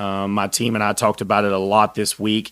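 A man speaks with a Texan accent at a moderate pace. The recording is very clean, with a silent background. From Texas. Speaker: podcast host, firefighter. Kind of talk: solo podcast monologue.

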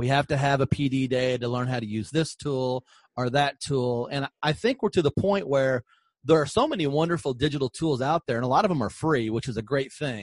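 Recorded with a dry, close sound with no echo over a quiet background, a man uses an ordinary speaking voice at medium pitch, with ordinary pitch variation and a fairly quick pace. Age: 50s. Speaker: podcast host, former school superintendent. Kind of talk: interview podcast.

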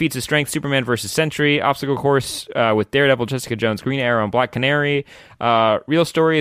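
The speaker does plain reading aloud, with ordinary pitch variation.

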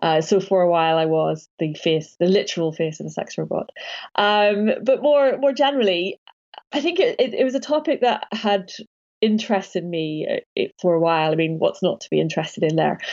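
Speaking at a fairly quick pace, a woman talks with a British accent. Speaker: academic author. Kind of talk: interview.

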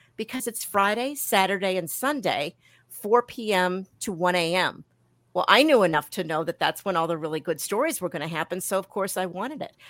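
The speaker, in an American accent, talks at a fairly quick pace with lively intonation, in a dry, close sound with no echo on a very clean recording with a silent background. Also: woman, medium pitch for a woman. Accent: slight New York accent on some words. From Milwaukee, Wisconsin. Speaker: author and former journalist. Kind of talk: interview.

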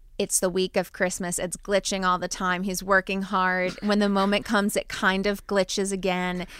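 With a slight New Jersey accent, a woman speaks at a moderate pace and medium pitch in a monotone, flat intonation with hardly any pauses, on a very clean recording with a silent background. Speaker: podcast host. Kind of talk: casual chat.

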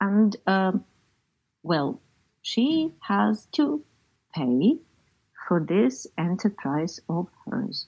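On a very clean recording with a silent background, a somewhat breathy woman speaks very slowly with long, frequent pauses. Her pitch swings very widely. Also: medium pitch for a woman. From Ukraine. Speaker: novelist and poet. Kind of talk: interview.

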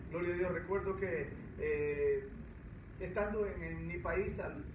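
Audible room echo and noticeable background noise surround the voice of a man. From El Salvador. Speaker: pastor. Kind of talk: interview.

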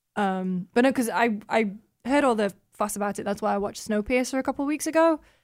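A woman with a northern English accent speaks very fast at a fairly high pitch, with ordinary pitch variation, on a very clean recording with a silent background. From northern England. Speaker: games journalist. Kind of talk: casual chat.

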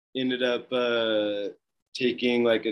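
Talking with an American accent, a man holds a monotone, flat intonation. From Northern California, Mount Shasta. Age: 20s. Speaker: clothing brand founder, skier. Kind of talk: casual interview chat.

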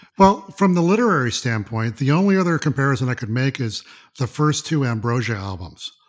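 Here a man talks at a fairly quick pace in an American accent, his pitch swinging very widely. The recording is very clean, with a silent background. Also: medium pitch for a man. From US South, Mississippi. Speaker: art photographer and music fan. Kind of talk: casual chat.

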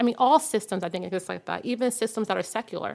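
A woman is speaking with vocal fry. Her pitch varies in an ordinary way. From Harlem, New York. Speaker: visual artist. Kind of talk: casual chat.

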